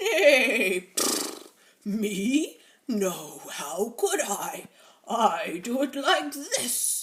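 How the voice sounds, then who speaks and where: A put-on character voice at a fairly high pitch moves very slowly, with very wide pitch swings. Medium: read story.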